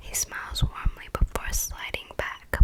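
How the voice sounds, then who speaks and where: A woman whispers fairly slowly while noticeable background noise carries on around her. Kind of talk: whispered audiobook-style reading of a YA romance novel, ASMR. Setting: close microphone recording. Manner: whispered, soft.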